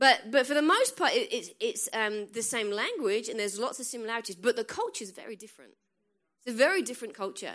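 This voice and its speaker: Animated and very fast, a woman with an American accent speaks in a high pitch with lively intonation and big swings in loudness. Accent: English accent, somewhat changed by US. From England. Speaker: guest preacher. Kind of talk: sermon. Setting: church with congregation.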